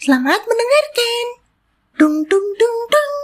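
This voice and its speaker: A woman speaks in a squeaky voice. Her pitch swings very widely. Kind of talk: public-address style announcement. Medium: read story. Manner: formal, measured, inviting.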